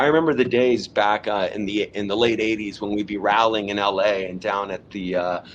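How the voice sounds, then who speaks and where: With an American accent, a man has an ordinary speaking voice, medium pitch, ordinary pitch variation, and a fairly quick pace. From Southern California. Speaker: cannabis company co-founder. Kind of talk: podcast interview.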